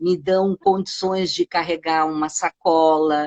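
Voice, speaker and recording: A woman's fairly low voice at a very slow pace, with a dry, close sound and no echo. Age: 60s. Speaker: gym client. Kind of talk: interview.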